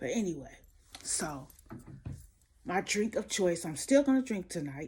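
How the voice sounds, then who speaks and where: A woman whispers at a moderate pace. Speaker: celebrity gossip commentator. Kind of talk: casual gossip commentary. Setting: home recording at night. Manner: whispering.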